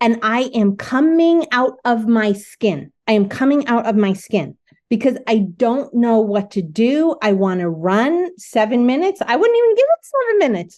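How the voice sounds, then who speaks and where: With a New Jersey accent, a woman speaks at a fairly high pitch and a moderate pace in an animated tone, using very wide pitch swings, very even loudness and hardly any pauses. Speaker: artist and spiritual director. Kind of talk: casual chat.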